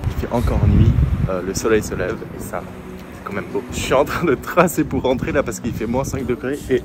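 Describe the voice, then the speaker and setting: Noticeable background noise accompanies a man's voice. He speaks at a medium pitch and a moderate pace. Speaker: fitness vlogger. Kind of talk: casual vlog. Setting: outdoors walking home, then at home. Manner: animated.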